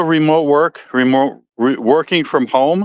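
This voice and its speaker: An American-accented man talks at a moderate pace with a fairly high pitch. The background is quiet, and the sound is dry and close with no echo. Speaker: podcast host. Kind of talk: casual monologue. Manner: halting.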